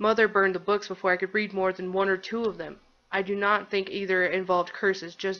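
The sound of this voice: An unforced reading voice comes through in this clip.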